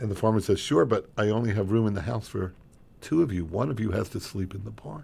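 A somewhat breathy man at a very fast pace, on a very clean recording with a silent background. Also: fairly low pitch for a man, ordinary pitch variation. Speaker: radio host. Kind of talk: casual banter on a radio show. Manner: joking, teasing.

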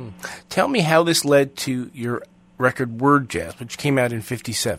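On a very clean recording with a silent background, a man in a plain, everyday voice speaks fairly slowly at medium pitch, with ordinary pitch variation and big swings in loudness. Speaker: radio host. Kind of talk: interview.

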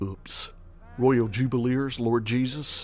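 A man talks in a warm, relaxed tone with music in the background. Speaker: radio host. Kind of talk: casual radio chat introducing gospel records. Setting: radio studio broadcast. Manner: warm, relaxed, friendly; unhurried, genial DJ patter.

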